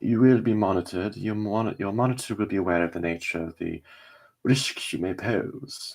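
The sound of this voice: Reading in an unforced voice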